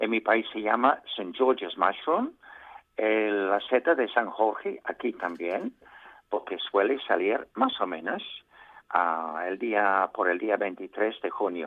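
A man speaks at a very slow pace. His pitch sits fairly low. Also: ordinary pitch variation. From England. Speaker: mushroom expert contributor. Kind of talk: casual radio chat.

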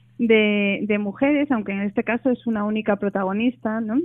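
A woman's fairly high-pitched, unremarkable speaking voice at a moderate pace. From Asturias, Spain (Oviedo). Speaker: novelist. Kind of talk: radio interview.

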